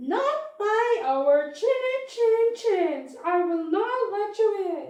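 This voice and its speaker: In a cartoonish character voice with an extremely high pitch, a woman speaks at a very slow pace with a slight echo. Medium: puppet.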